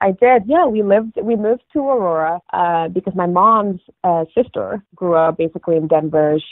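The speaker has an American accent and a moderate pace. Pitch varies normally, and the sound is dry and close with no echo. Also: woman, fairly low pitch for a woman.

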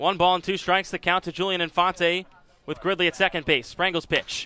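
A man's raised, projected voice in an animated tone, dry and close with no echo. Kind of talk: live commentary. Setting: ballpark broadcast. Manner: animated, excitable home-run calls.

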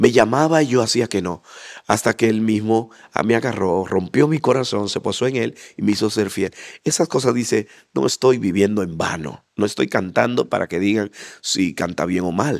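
Against a quiet background, a man with a fairly low pitch speaks at a moderate pace with lively intonation in a dry sound with no echo. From Dominican Republic, Santo Domingo and Bonao; Dominican Republic. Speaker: interview guest. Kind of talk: interview testimony. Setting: church association facility. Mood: animated, heartfelt testimony. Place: hall. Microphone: handheld.

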